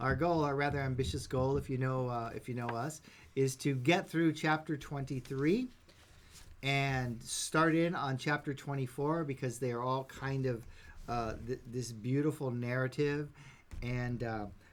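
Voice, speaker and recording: On a very clean recording with a silent background, a man of medium pitch speaks at a fairly slow pace. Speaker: Bible study teacher. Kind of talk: live-streamed Bible study. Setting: Facebook live stream. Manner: gets louder and more animated as it goes; halting, many filler words.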